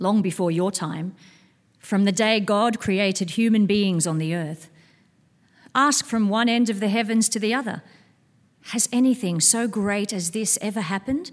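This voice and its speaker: A woman's plain, everyday voice at medium pitch and moderate pace, with ordinary pitch variation, in a very clean recording with a silent background. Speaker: scripture reader at church service. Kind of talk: reading aloud. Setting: church.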